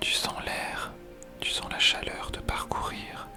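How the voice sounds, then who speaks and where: Whispering at a very slow pace with music in the background. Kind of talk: guided meditation. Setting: headphones-oriented ASMR recording. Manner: whispered, soft-spoken, slow.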